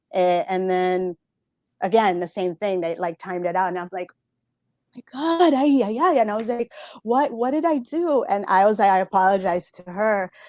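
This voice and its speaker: A woman with a Spanish accent at a medium pitch and moderate pace, lively in intonation, in a very clean, dry, close recording with a silent background and no echo. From Central America. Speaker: Twitch moderator. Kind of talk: interview. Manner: halting, many fillers and repetitions.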